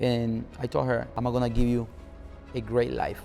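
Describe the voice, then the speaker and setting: A man with a Spanish accent, at a fairly quick pace. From Nicaragua. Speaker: car club founder. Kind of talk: interview.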